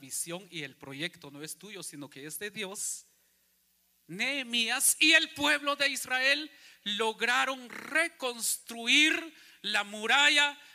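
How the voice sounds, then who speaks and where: A man talks at a very slow pace in a raised, projected voice with a bright, sharp tone. His pitch swings very widely. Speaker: pastor. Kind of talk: sermon, preacher in full flow, rhetorical questions to congregation. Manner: animated, emphatic, rising-and-falling delivery, repeating phrases, mocking voices; rhetorical audience questions, repeated for emphasis.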